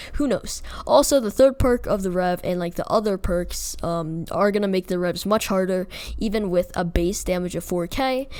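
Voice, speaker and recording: A woman at medium pitch talks at a moderate pace with ordinary pitch variation. She hardly pauses at all. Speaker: gaming YouTuber. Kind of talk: tutorial. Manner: hesitant, many fillers.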